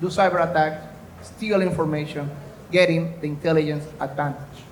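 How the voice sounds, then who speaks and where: Audible room echo hangs around the man's voice. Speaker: former US intelligence officer and security consultant. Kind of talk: conference presentation.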